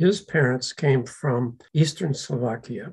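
Man with a fairly high pitch, somewhat breathy, dark, mellow tone, ordinary pitch variation and a fairly slow pace. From US, Slovak-American community. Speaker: descendant sharing family history. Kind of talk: interview.

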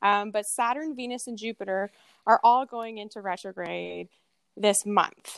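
In a very clean recording with a silent background and a dry, close sound with no echo, a woman speaks at a moderate pace with a fairly high pitch, fairly even intonation and big swings in loudness. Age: 30s. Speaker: podcast co-host, florist. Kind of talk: casual chat.

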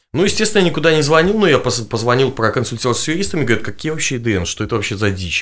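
A very fast man's voice at a medium pitch, full of very wide pitch swings. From Belarus, Gomel. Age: 20s. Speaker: political activist and blogger. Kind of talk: interview testimony.

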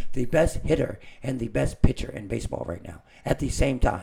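This man has a dark, mellow tone with vocal fry. His pitch swings very widely. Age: 20s. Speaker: podcast co-host. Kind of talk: casual chat.

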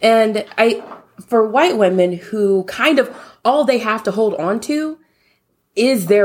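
A woman with an American accent, medium pitch and lively intonation, on a very clean recording with a silent background. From US South (Louisiana). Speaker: sex blogger and social work student. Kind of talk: interview.

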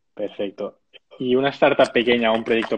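A man's ordinary speaking voice at a moderate pace. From Catalonia, Spain (Sabadell). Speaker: webinar host. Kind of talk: interview.

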